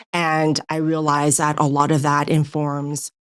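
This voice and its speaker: On a very clean recording with a silent background and a dry, close sound with no echo, a woman with a California accent speaks fairly slowly in a very deep, low pitch with fairly even intonation. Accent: sounds like a California girl. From Taiwan, raised in California from age six. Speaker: author. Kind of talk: interview. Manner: casual, with many fillers.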